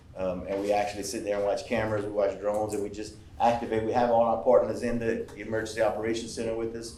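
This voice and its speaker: Audible room echo surrounds a man who speaks very fast with hardly any pauses, using a medium pitch and a monotone, flat intonation. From Louisiana Cajun country. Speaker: emergency management official. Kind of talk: public presentation. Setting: workshop with audience.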